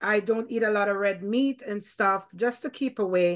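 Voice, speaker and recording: Against a quiet background, a woman talks in a normal speaking voice. Her pitch is fairly high and her pace moderate. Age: 50s. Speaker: podcast host. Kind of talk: casual interview.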